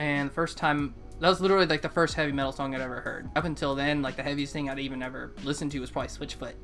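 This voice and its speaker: With music in the background, someone in an American accent talks at a very fast pace with hardly any pauses. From US South, Murfreesboro, Tennessee. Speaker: musician. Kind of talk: interview. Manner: casual.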